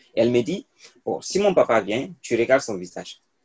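A man talks with lively intonation at a medium pitch. His recording sounds dry and close, without any echo. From Côte d'Ivoire (Burkinabe diaspora). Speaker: public policy researcher and youth leader. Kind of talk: interview, personal story.

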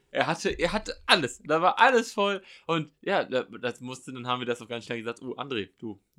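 On a very clean recording with a silent background, a man with a fairly high pitch and a bright, sharp tone talks at a fairly quick pace, with very wide pitch swings and big swings in loudness. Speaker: podcast host. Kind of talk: casual chat.

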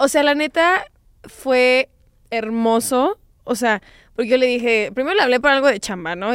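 A high-pitched woman with lively intonation, heard on a very clean recording with a silent background. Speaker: sex educator podcast host. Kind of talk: casual chat.

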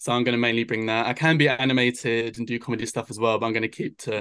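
Over a quiet background, a man with a medium pitch speaks fairly quickly in a monotone, flat intonation. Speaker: drag performer. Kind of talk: radio interview.

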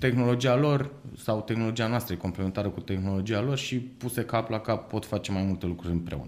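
A man speaks at a medium pitch and a fairly quick pace. His pitch variation is ordinary. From Moldova region. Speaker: startup founder and CEO. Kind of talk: interview. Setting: studio. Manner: hesitant, many fillers.

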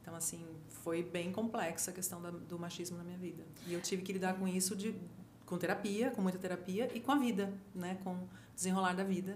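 A woman's medium-pitched voice at a fairly quick pace and fairly even intonation, with audible room echo and noticeable background noise. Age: 50s. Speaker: photographer and journalist. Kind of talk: casual chat.

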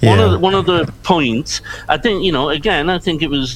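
This is a man speaking. He has a Liverpool accent. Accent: Liverpool (Scouse) English. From Liverpool, England, Irish background. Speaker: crime writer. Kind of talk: panel discussion. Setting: video call.

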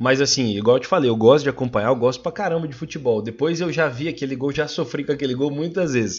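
Delivery is very fast. There is a somewhat breathy quality to the voice. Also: man, fairly high pitch for a man, ordinary pitch variation, hardly any pauses. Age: 20s. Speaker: podcast guest, agribusiness sales worker. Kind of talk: casual chat.

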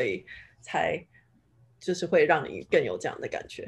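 A woman speaks at a fairly slow pace. She has a Taiwanese accent, and the background is quiet. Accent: Taiwanese Mandarin. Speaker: finance professional in tech. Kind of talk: casual chat.

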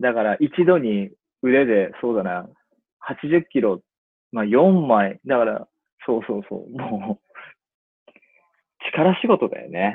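A man speaks at a very slow pace with lively intonation. Long, frequent pauses break up his speech. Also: medium pitch for a man. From Japan, Ibaraki (Itako, rural). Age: 30s. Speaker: eyewear designer, brand founder. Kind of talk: casual interview chat.

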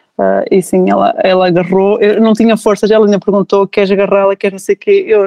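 A woman with a medium pitch speaks very fast in a flat, monotone delivery. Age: 30s. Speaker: new mother sharing birth story. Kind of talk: testimony.

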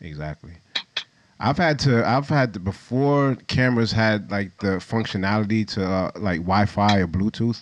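A plain, everyday voice from a man, fairly low-pitched, with ordinary pitch variation at a moderate pace. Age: 40s. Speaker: podcast host, photographer. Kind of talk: casual interview. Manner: laid-back.

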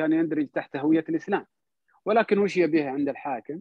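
Male voice with lively intonation. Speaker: cultural salon host, guest speaker. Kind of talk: online talk on history. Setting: online audio/video call.

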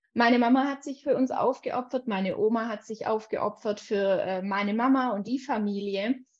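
A woman with an unremarkable speaking voice, fairly high in pitch and fairly even in intonation, at a moderate pace with hardly any pauses. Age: 20s. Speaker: life coach. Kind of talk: casual chat.

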